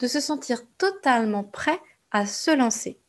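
High pitch from a woman, with ordinary pitch variation. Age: 30s. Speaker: podcast host, entrepreneurship coach. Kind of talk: monologue podcast intro.

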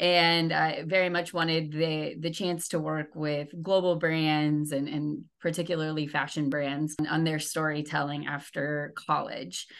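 A woman's very deep, low-pitched voice, monotone and flat, with hardly any pauses over a quiet background. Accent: Midwestern American. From rural Indiana, US Midwest. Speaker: communications manager. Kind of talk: interview.

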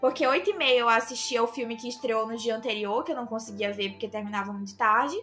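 Over noticeable background noise, a woman with a fairly high pitch talks at a fairly quick pace. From Brazil, Northeast. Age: 20s. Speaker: film content creator. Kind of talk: casual chat. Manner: fast.

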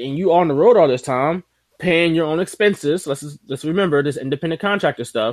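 A man with a fairly high pitch talks at a very fast pace with ordinary pitch variation. The sound is dry and close, with no echo. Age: 30s. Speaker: wrestling podcast host. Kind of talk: casual chat.

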